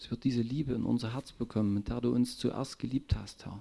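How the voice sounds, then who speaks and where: The voice is somewhat breathy, with a dark, mellow tone. It moves at a moderate pace with fairly even intonation. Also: man. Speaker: congregation member praying. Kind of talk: fervent prayer. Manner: fervent, emotional, repeating 'Herr' with laughs.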